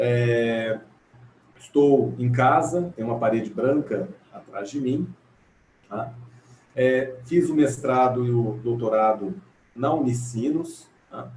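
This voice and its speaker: Speaking very slowly with long, frequent pauses, a man with an interior São Paulo accent keeps a medium pitch and ordinary pitch variation. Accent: caipira accent of interior São Paulo. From Brazil, interior of São Paulo state. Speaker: legal scholar, panel speaker. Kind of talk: academic panel talk. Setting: video call from home. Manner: halting, many fillers.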